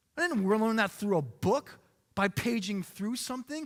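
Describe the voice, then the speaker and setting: A man with an American accent speaks loudly at a moderate pace in a high voice that swings very widely in pitch. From US, Korean American family. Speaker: pastor. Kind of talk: sermon. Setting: church. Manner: loud, impassioned.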